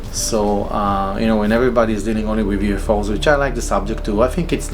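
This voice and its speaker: Very rapid speech from a man, room echo audible, background noise noticeable. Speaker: solo vlogger. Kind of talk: casual monologue. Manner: halting, many fillers and repetitions; improvised.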